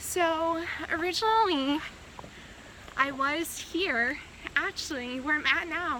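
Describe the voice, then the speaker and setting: A woman speaks in a raised, projected voice. Background noise is noticeable. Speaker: medical student and cancer patient vlogger. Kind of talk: casual vlog while walking. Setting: outdoors, hiking by a creek. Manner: halting, faltering speech; slow, with many pauses.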